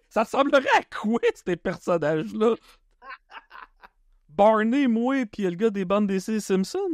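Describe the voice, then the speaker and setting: Speaking at a very slow pace, a man with a high pitch and ordinary pitch variation shows big swings in loudness in a dry, close sound with no echo. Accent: Quebec. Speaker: comedian and podcast host. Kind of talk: podcast interview.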